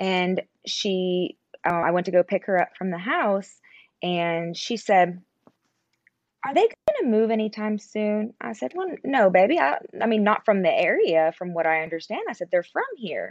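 A woman with an American accent and a normal speaking voice talks at a moderate pace and medium pitch with lively intonation, the sound dry and close with no echo. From Pennsylvania, near West Virginia border. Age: 20s. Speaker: content creator, military spouse. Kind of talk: interview conversation.

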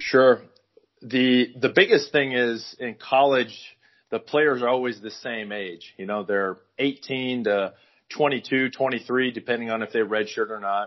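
With an American accent, a man speaks in an ordinary speaking voice at medium pitch. His pace is fairly slow and his intonation fairly even. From US Midwest, northwest Iowa. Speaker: strength and conditioning coach, former college football player. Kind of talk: interview.

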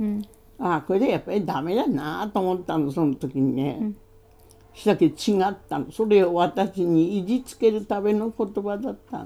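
In a dark, mellow tone, a woman speaks at medium pitch with lively intonation. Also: moderate pace, big swings in loudness. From Hokkaido. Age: 80s+. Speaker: Ainu language teacher. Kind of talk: casual interview.

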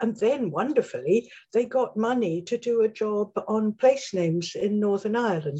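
Speaking with an English accent, a woman has a dark, mellow tone at medium pitch. She is somewhat breathy and keeps a moderate pace. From England. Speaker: name studies scholar, dictionary co-author. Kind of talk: interview.

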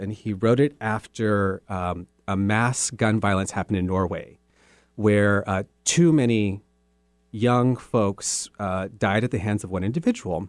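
A man's normal speaking voice with an American accent, fairly low pitch, and fairly slow pace, in a dry, close sound with no echo on a very clean recording with a silent background. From US Southwest, southern Arizona. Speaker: theater executive director. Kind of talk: radio interview. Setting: radio studio.

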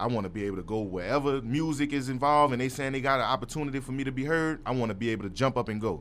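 Words pour out of a man at a very fast pace. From New Orleans, uptown. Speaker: rapper. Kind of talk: casual interview. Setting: studio.

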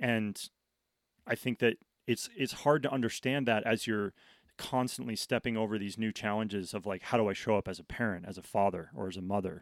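A man with an American accent speaks at a fairly low pitch with ordinary pitch variation. The recording is very clean with a silent background and a dry, close sound with no echo. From New England (Connecticut, Vermont). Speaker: professional snowboarder. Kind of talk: casual interview. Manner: halting, with frequent repetitions.

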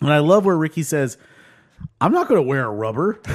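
A man's fairly high voice at a fairly quick pace. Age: 40s. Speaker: podcast host. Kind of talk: casual chat. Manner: halting.

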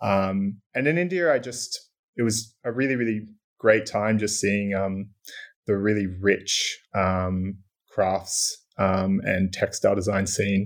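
On a very clean recording with a silent background, a man with an Australian accent talks very slowly in a fairly low pitch with ordinary pitch variation. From Port Macquarie, New South Wales, Australia. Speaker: UX designer. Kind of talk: casual interview chat.

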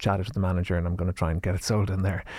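A man speaks with an Irish accent. The recording is very clean, with a silent background. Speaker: drinks company founder. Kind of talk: interview.

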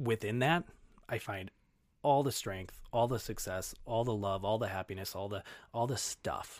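The speaker is a man with an unremarkable speaking voice, medium pitch and ordinary pitch variation. He keeps a moderate pace in a very clean recording with a silent background. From Minnesota, Twin Cities (Brooklyn Center). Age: 30s. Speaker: fitness coach and marathon runner. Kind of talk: casual interview chat.

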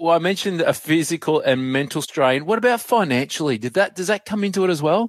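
In an Australian accent, a man talks with a high pitch and lively intonation. His pace is very fast, with hardly any pauses. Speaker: podcast host and journalist. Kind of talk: interview.

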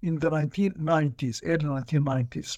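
On a very clean recording with a silent background, a man speaks at a moderate pace. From Sudan. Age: 70s. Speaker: law professor and author. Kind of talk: interview. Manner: passionate.

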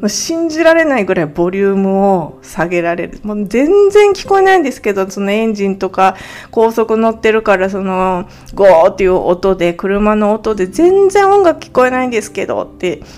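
A woman with lively intonation amid noticeable background noise. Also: medium pitch for a woman. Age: 40s. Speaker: podcast host, part-time homemaker. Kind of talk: casual monologue. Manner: slow; halting, many fillers.

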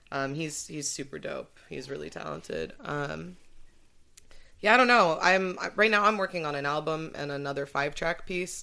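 An American accent comes through with lively intonation and a bright, sharp tone. Vocal fry is present over a quiet background. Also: woman, very deep, low pitch for a woman, moderate pace, big swings in loudness. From Santa Barbara, California. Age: 20s. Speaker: rapper. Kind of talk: casual chat. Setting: studio.

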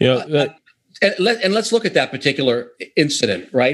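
A man with an American accent, fairly high-pitched, talking at a very fast pace with vocal fry. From US, Pittsburgh. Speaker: author. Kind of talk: interview. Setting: remote call.

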